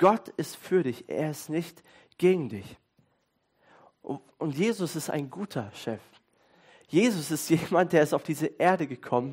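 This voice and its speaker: A man speaks at a fairly high pitch and a fairly slow pace. His tone is animated and warm, with long, frequent pauses. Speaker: pastor. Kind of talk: sermon. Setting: church with congregation. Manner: conversational, fluent, with hesitations like "äh" and "ähm".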